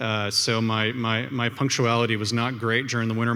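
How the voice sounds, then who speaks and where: A man with a Canadian accent, medium pitch and flat, monotone intonation, in a room with audible echo. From Canada. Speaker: entrepreneur. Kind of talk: conference talk. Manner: many fillers and repetitions.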